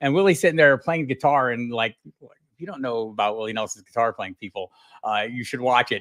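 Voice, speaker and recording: At a fairly quick pace, a man speaks at medium pitch with lively intonation, in a dry, close sound with no echo. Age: 60s. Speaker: fantasy football analyst. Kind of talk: casual interview. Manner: halting, many fillers.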